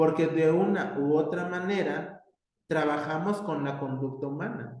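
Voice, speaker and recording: Pitched fairly high, a man talks at a fairly slow pace with ordinary pitch variation. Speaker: university professor. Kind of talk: lecture. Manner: hesitant, many fillers.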